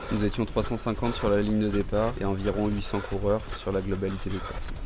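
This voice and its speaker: Amid noticeable background noise and audible room echo, a man speaks at a fairly quick pace in a fairly low, monotone, flat voice. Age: 30s. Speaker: amateur trail runner, vlogger. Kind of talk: vlog narration. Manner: casual, with fillers.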